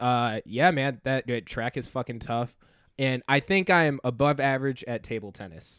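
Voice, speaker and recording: A man with an American accent has an unremarkable speaking voice at medium pitch, with ordinary pitch variation and a moderate pace. The recording is very clean and dry, close with no echo and a silent background. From North Carolina. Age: 20s. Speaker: comedian. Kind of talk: casual chat.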